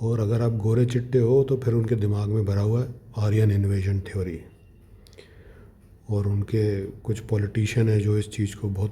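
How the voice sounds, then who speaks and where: In a Punjabi accent, a man speaks with a dark, mellow tone, a fairly low pitch and a somewhat breathy quality. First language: Punjabi (speaking Hindi). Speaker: vlogger. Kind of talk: casual monologue. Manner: animated.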